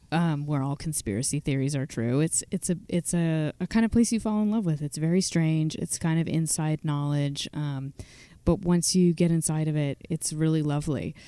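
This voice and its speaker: With an American accent, a woman speaks at a very deep, low pitch in a dark, mellow tone, recorded very cleanly against a silent background. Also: ordinary pitch variation, moderate pace, dry, close sound with no echo. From Virginia, US. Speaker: singer-songwriter. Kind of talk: radio interview.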